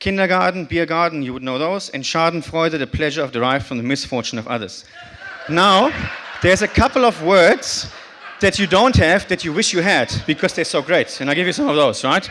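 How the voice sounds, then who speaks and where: A man with a German accent talks at a fairly quick pace in a high voice. His intonation is lively, and background noise is noticeable. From northern Germany (Bremen). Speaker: conference speaker. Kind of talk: short talk to audience.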